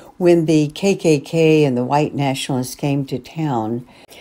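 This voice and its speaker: A woman with an American accent has a very deep, low voice and a dark, mellow tone. She speaks at a fairly slow pace. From Charlottesville, Virginia, US South. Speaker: faith leader. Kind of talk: testimony.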